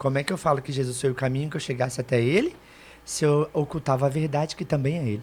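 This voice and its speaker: Over a silent background in a very clean recording, a man with a fairly high, somewhat breathy voice speaks very fast in a fairly even intonation. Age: 30s. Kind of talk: testimony.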